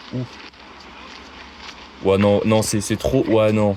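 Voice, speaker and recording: A man's tone is dark and mellow. Everything is captured in a very clean recording against a silent background. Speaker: YouTube reaction streamer. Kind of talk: reaction commentary. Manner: fast; animated.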